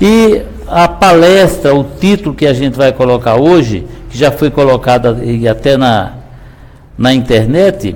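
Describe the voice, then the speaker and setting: The speaker uses lively intonation at a fairly slow pace, amid noticeable background noise and audible room echo. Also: man. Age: 60s. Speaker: pastor. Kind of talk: sermon.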